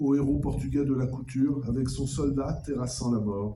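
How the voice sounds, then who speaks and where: Somewhat breathy, a man speaks in a dark, mellow tone at a fairly high pitch, moderate pace and fairly even intonation. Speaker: official speaker at a commemoration. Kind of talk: formal commemorative speech. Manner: formal.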